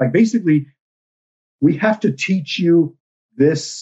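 A somewhat breathy male voice. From South Texas, Rio Grande Valley. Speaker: newspaper columnist. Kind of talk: casual interview.

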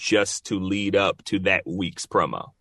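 Speaking very slowly with an American accent, a man uses ordinary pitch variation and a bright, sharp tone. The background is quiet and the sound is dry and close with no echo. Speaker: voice actor. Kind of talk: interview. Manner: casual, laid-back.

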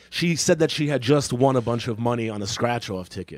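On a very clean recording with a silent background, a man with a plain, everyday voice and medium pitch talks at a fairly quick pace with lively intonation. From New York City. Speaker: comedian and podcast host. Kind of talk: casual chat, comedic banter.

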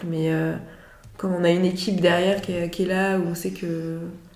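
A woman's fairly low, monotone, flat delivery at a moderate pace, with noticeable background noise and audible room echo. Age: 20s. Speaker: psychiatric nurse. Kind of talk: interview.

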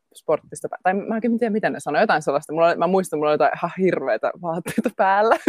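A woman at medium pitch, very fast pace and lively intonation, in a dry, close sound with no echo. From Finland, Jyväskylä. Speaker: dancer and actress. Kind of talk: interview. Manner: halting.

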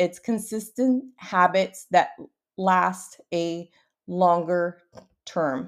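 In a Portuguese accent, a woman speaks in an upbeat tone at a medium pitch with ordinary pitch variation, on a very clean recording with a silent background. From Brazil. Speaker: podcast host, entrepreneur. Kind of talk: podcast monologue, personal storytelling. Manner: upbeat, motivational.

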